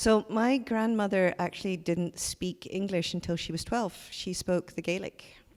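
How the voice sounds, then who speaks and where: A woman with a Scottish accent talks at a moderate pace and medium pitch, with ordinary pitch variation and hardly any pauses, on a very clean recording with a silent background. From Scotland, Glasgow. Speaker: art museum curator. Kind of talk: onstage conversation.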